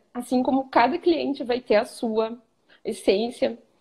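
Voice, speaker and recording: In a southern Brazilian accent, a woman speaks at a moderate pace with a high pitch and ordinary pitch variation. Her tone is dark and mellow, set against a quiet background. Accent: gaúcho. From southern Brazil (Rio Grande do Sul). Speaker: image consultant student. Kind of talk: live stream interview. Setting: live video stream. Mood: reflective, warm. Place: home room. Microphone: video call.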